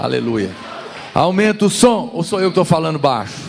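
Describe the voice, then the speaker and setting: Pitch swinging very widely, a man talks at a moderate pace. Audible room echo and noticeable background noise fill the recording. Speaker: pastor. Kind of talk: sermon. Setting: church. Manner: soft-spoken.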